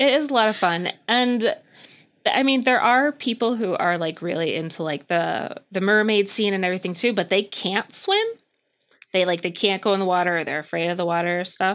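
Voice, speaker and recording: Using a normal speaking voice at a medium pitch, the woman talks at a moderate pace with ordinary pitch variation. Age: 30s. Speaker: mermaid instructor. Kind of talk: interview.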